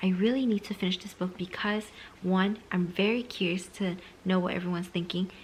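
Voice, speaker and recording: Here a woman is whispering. She keeps a moderate pace. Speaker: book vlogger. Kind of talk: casual vlog. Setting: at home at night.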